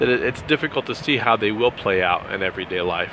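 A man with an American accent talks at a very fast pace with ordinary pitch variation. Noticeable background noise is present. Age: 40s. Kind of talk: solo commentary podcast.

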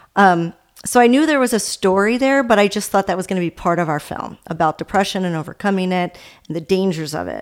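A woman with an American accent speaks at a fairly quick pace in a medium pitch. Hers is an ordinary speaking voice. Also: very clean recording, silent background. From Maryland, Baltimore area. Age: 40s. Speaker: sports broadcaster and documentary filmmaker. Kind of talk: interview conversation.

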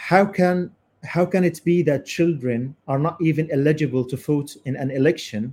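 Somewhat breathy, a man speaks with an Arabic accent and ordinary pitch variation. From Gaza, Palestine. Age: 20s. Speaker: podcast host, journalist. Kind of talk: live panel interview.

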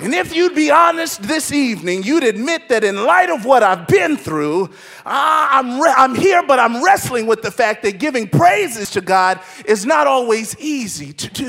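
Over music in the background, a man with an extremely high pitch sounds animated, his voice swinging very widely in pitch. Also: big swings in loudness. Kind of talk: sermon. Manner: fervent, exhorting the congregation directly.

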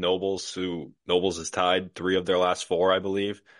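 A man speaks at a very deep, low pitch. His intonation is monotone and flat. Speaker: hockey writer. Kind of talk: casual sports podcast discussion.

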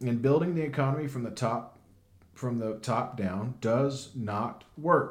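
A man's fairly even intonation and fairly slow delivery carry through audible room echo. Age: 30s. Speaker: podcast host. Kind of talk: casual news commentary.

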